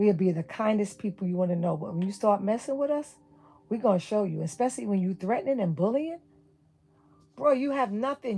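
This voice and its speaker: A woman with a New York accent, talking at a fairly quick pace with lively intonation. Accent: New York City. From New York City (Brooklyn). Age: 60s. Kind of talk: livestream rant.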